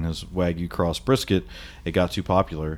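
At a moderate pace, a man with an American accent speaks in a very deep, low voice. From Ohio. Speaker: barbecue critic and writer. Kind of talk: casual chat.

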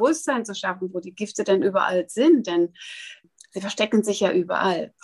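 At a moderate pace, a woman speaks with an unremarkable speaking voice of medium pitch. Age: 60s. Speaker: wellness educator. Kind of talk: interview.

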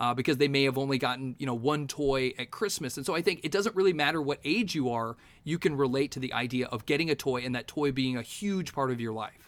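A man with a fairly high pitch talks at a very fast pace, with ordinary pitch variation and hardly any pauses. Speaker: podcaster guest. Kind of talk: casual podcast chat.

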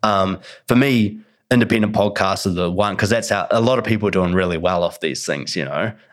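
A man talks at a fairly quick pace with a fairly low pitch and ordinary pitch variation in a very clean recording with a silent background. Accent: Australian. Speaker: podcast host. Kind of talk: casual interview chat.

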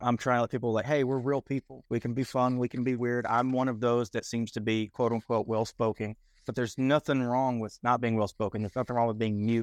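A man in a Texan accent talks at a very fast pace with hardly any pauses, his medium pitch flat and monotone. The sound is dry and close with no echo. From Texas. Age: 20s. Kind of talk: casual interview.

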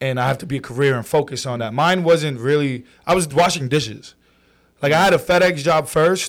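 A man with a New York accent talks at a fairly quick pace, his pitch fairly high. The pitch variation is ordinary, and the recording is very clean with a silent background. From New York City, Brooklyn and Queens. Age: 20s. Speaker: social media comedian. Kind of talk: casual chat. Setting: studio.

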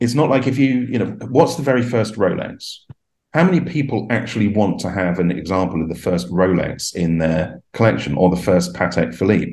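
Audible room echo surrounds a man speaking at a moderate pace. His tone is dark and mellow, with lively intonation. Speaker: watch collector. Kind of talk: casual interview.

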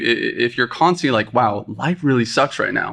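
There is vocal fry in this man's voice, heard over a quiet background. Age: 20s. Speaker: cafe owner. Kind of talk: casual interview. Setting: studio.

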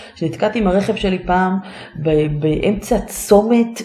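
At a very slow pace, a woman speaks at a medium pitch over noticeable background noise. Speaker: stand-up comedian and speaking coach. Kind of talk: casual interview chat.

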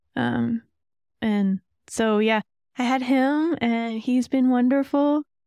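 In an American accent, a woman speaks very slowly at a high pitch with a dark, mellow tone, fairly even intonation, very even loudness and long, frequent pauses, the sound dry and close with no echo. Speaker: guest, army reservist and parent. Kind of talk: casual interview chat.

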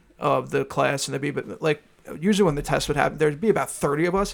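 Speaking at a very fast pace, a man with a Long Island accent has a fairly high pitch and ordinary pitch variation. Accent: New York (Long Island). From Long Island, New York. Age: 20s. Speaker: podcast co-host. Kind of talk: casual chat. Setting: studio.

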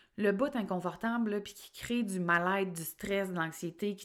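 Here is a woman with an ordinary speaking voice at a medium pitch. She speaks at a fairly slow pace in a very clean recording with a silent background. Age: 30s. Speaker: life coach and podcast host. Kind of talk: solo podcast monologue. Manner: casual, conversational.

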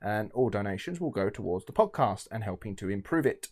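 Lively intonation colors a man's speech. He talks with an English accent. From England. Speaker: podcast co-host. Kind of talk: casual chat. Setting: remote call.

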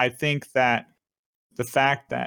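In a very clean recording with a silent background, a normal speaking voice proceeds at a moderate pace. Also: man. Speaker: podcast host. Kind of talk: casual chat.

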